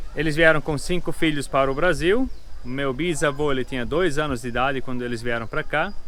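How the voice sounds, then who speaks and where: A man's fairly high voice with ordinary pitch variation at a fairly quick pace. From southern Brazil, Pomerode (Santa Catarina). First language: German (Pomeranian) (speaking Portuguese). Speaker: family farm host for tourists. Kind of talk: casual explanation to visitors.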